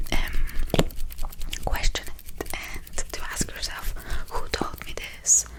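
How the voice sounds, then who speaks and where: A woman speaks in a whisper. Noticeable background noise runs underneath. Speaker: ASMR creator. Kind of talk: ASMR whispered ramble to camera. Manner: whispered, soft-spoken.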